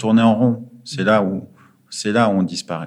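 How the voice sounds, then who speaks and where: A man's voice, fairly low in pitch. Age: 30s. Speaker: former finance trader turned charity worker. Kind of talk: interview. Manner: halting, many fillers.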